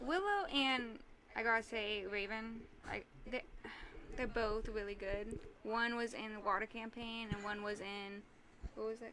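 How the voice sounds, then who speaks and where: Against noticeable background noise, a soft-spoken woman with fairly high pitch talks at a fairly slow pace with fairly even intonation and long, frequent pauses. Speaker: tabletop game master, podcast guest. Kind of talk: casual chat. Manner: halting.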